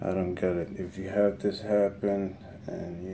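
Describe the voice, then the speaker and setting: Through noticeable background noise, a man with a very deep, low pitch speaks at a very slow pace in a monotone, flat intonation. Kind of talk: casual vlog chat. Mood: puzzled, a bit frustrated. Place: home room. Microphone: phone near.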